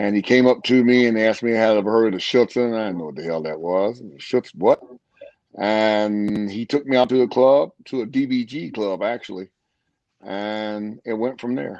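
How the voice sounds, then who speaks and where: A fairly low-pitched man with ordinary pitch variation, in an ordinary speaking voice. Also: moderate pace. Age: 60s. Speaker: dog trainer. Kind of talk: interview.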